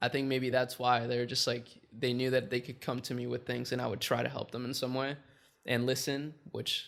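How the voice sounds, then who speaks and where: At a fairly quick pace, a man speaks at medium pitch in a monotone, flat intonation. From Chile. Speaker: entrepreneur. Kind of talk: casual interview chat.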